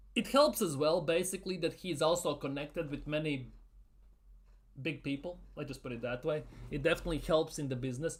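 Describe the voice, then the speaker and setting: Here a man speaks with a non-native accent and a fairly high pitch. His pace is fairly quick. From Latvia. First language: not English. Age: 30s. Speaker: football YouTuber. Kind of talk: live Q&A stream. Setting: live stream. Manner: casual, repetitive.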